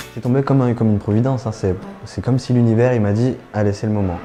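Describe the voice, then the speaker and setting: A man talks at a very fast pace with a fairly low pitch and fairly even intonation. Noticeable background noise is present. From France, Lyon. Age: 20s. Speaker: actor. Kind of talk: interview testimony. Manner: soft-spoken; natural, hesitant.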